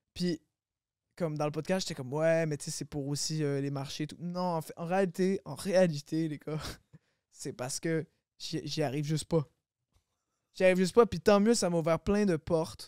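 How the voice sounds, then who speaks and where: A man with fairly high pitch talks at a moderate pace, with ordinary pitch variation, big swings in loudness and long, frequent pauses. The recording is very clean, dry and close, with no echo and a silent background. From Quebec, Longueuil (Montreal area). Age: 20s. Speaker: rapper. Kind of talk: casual chat.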